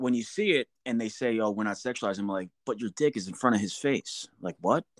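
On a very clean recording with a silent background and a dry, close sound with no echo, a man with an American accent speaks at a moderate pace in an unremarkable speaking voice, medium-pitched with ordinary variation. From New Jersey. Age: 40s. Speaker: podcast host, veteran. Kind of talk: casual chat.

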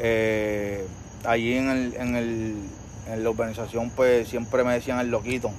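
With audible room echo, a man talks at a fairly slow pace and medium pitch in a monotone, flat intonation. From Puerto Rico, Trujillo Alto. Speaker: photographer. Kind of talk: casual interview chat. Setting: outdoor patio at home. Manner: halting, many fillers.

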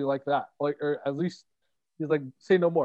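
A man speaks with a Canadian accent at a fairly high pitch. He has a plain, everyday voice with ordinary pitch variation. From Toronto, Canada. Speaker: author. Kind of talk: casual interview.

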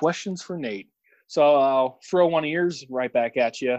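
Here a man talks in a normal speaking voice. His pitch variation is ordinary. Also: dry, close sound with no echo. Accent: American. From Illinois, St. Louis area. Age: 30s. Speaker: air force service member. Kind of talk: casual chat.

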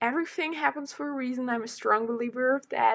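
With a non-native accent, a woman speaks at a high pitch with ordinary pitch variation. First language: not English. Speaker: solo podcaster. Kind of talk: casual monologue. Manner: hesitant, many fillers.

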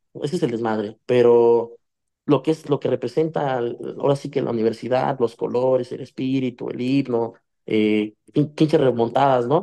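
With a dark, mellow tone, a man talks at a moderate pace with ordinary pitch variation against a quiet background. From Mexico, Ecatepec (State of Mexico). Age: 20s. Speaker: musician. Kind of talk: casual chat.

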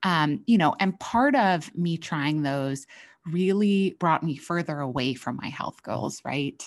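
Very slow delivery with lively intonation. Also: woman, fairly low pitch for a woman. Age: 30s. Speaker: nutrition professional and podcast host. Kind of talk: solo podcast monologue.

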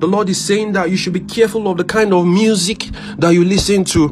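With music in the background, a man with a high voice speaks at a fairly quick pace in an intense tone and a monotone, flat intonation. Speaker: prayer leader. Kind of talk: fervent prayer, worship and praying in tongues, with prophetic declarations. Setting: online prayer session for a remote audience. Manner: intense, impassioned and rhythmic, repeating phrases and pleading in a rising cadence; urgent and exhorting, giving prophetic words with conviction.

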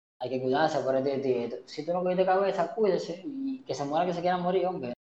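A man at a moderate pace, high in pitch, with lively intonation. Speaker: podcast co-host. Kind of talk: casual chat.

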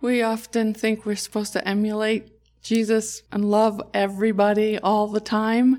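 In a very clean recording with a silent background, a woman speaks at a moderate pace with monotone, flat intonation. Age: 60s. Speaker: nurse. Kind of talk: casual chat.

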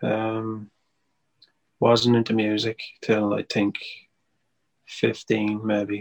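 A man with an Irish accent speaks very slowly at a fairly low pitch, his intonation monotone and flat. He pauses long and often, and the sound is dry and close with no echo. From Ireland, Wexford. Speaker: singer-songwriter. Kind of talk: casual interview chat.

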